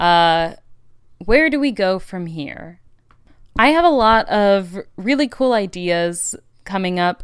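A woman with an American accent speaks at a very slow pace, her medium-pitched voice full of lively intonation. The recording is very clean, with a silent background. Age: 20s. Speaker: podcast host. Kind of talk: casual solo monologue. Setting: home recording studio.

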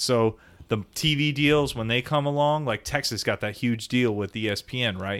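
On a very clean recording with a silent background, a man with an American accent has an ordinary speaking voice, speaking at a moderate pace and medium pitch with ordinary pitch variation. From South Florida. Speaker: sports podcast co-host. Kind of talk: casual chat.

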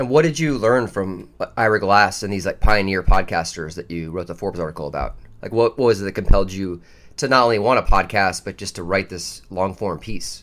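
An ordinary speaking voice from a man, fairly low in pitch with ordinary pitch variation, fairly quick in pace, with big swings in loudness, on a very clean recording with a silent background. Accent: American. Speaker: podcast host. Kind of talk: casual interview chat.

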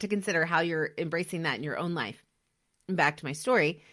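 Talking at a fairly quick pace, a woman has an unremarkable speaking voice and lively intonation. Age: 40s. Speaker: podcast host. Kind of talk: motivational monologue.

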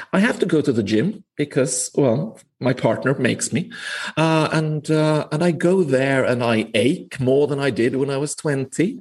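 This man's speech has a somewhat breathy sound. He goes at a moderate pace. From northern Finland. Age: 40s. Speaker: management professor. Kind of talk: interview conversation. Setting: remote call.

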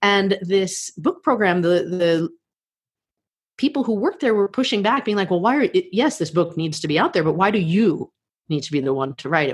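A woman with an American accent talks at a fairly quick pace, her medium pitch moving in very wide swings. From United States. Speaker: podcast host and life coach. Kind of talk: interview. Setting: remote call from home. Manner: natural, fluent.

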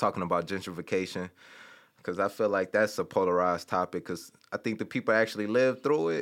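At a fairly quick pace, a man with a fairly low pitch talks in an American accent. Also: ordinary pitch variation, very clean recording, silent background. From Detroit, Michigan (west side). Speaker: tech startup co-founder and podcast co-host. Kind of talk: casual interview chat. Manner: halting, many fillers.

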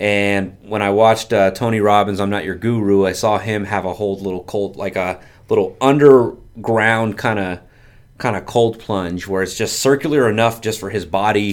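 At a moderate pace, a man with an ordinary speaking voice talks at a fairly low pitch with fairly even intonation. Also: very clean recording, silent background. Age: 30s. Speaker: insurance agency owner. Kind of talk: casual chat.

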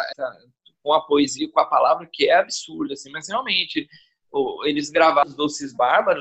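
A man talks at a moderate pace. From São Paulo. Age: 40s. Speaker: podcast guest. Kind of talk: casual chat. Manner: talkative.

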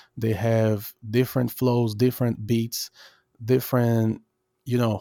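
A man's medium-pitched, dark and mellow voice with a Portuguese accent, monotone and flat at a moderate pace, on a very clean recording with a silent background. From Brazil. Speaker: rapper and music producer. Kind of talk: interview. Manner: halting.

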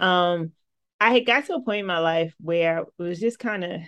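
A woman with an American accent, an unremarkable speaking voice and fairly low pitch, at a moderate pace. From New Jersey, Atlantic City. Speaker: filmmaker. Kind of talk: casual chat.

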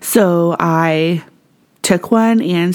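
Amid noticeable background noise, a woman with a Canadian accent talks at a fairly low pitch with lively intonation. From Canada. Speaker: podcast host. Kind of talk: solo podcast monologue.

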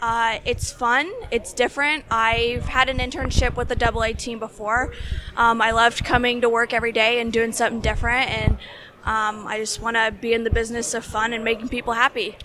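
A woman with an American accent speaks at a fairly high pitch in a monotone, flat intonation. Background noise is noticeable. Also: fairly quick pace. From Indiana. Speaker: job seeker, recent graduate. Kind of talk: interview.

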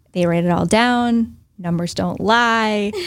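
A woman talks at a fairly slow pace in an unremarkable speaking voice. Her pitch variation is ordinary, and the recording is very clean with a silent background. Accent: American. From US Northeast, central Massachusetts. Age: 30s. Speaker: financial advisor. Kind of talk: casual interview. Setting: in person.

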